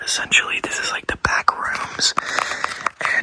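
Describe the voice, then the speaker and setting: A man whispering at a moderate pace amid noticeable background noise. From United States. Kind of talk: improvised ASMR thrift store roleplay, casual talk to camera. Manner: casual, joking, deadpan, with fillers.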